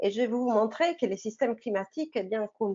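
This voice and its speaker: A woman's fairly high voice with ordinary pitch variation and a non-native accent. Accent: foreign accent in French. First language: not French (speaking French). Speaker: oceanographer. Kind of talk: online science talk for teenagers. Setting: live online broadcast. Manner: halting, many fillers.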